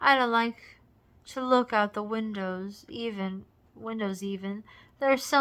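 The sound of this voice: The reader's unforced voice shows ordinary variation in pitch.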